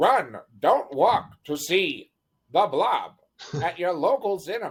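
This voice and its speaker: In a put-on character voice that sounds female, the speaker uses a middle pitch and a fairly slow pace. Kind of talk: booming announcer. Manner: dramatic, urgent.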